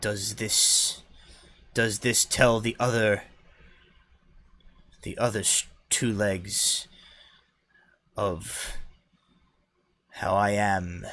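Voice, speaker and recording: A man's put-on character voice, raspy and fairly low in pitch, at a very slow pace with long, frequent pauses, on a very clean recording with a silent background. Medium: actual play. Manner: simple, halting grammar, grand.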